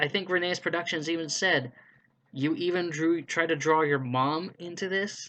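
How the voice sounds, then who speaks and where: Against a quiet background, a man with a high pitch and a bright, sharp tone talks at a moderate pace. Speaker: YouTuber running fan voice-acting casting calls. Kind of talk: casual rant to camera. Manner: stuttering a little; blunt, frustrated.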